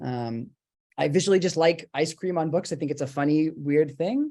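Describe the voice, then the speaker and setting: Over a quiet background, a man with a fairly high pitch and a dark, mellow tone speaks at a fairly quick pace. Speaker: book artist. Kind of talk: live presentation and Q&A on video call. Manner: fast.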